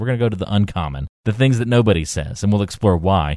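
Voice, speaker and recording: A man with an unremarkable speaking voice at a fairly low pitch talks at a fairly quick pace with lively intonation, in a very clean recording with a silent background and a dry, close sound with no echo. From North Carolina. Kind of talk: casual chat.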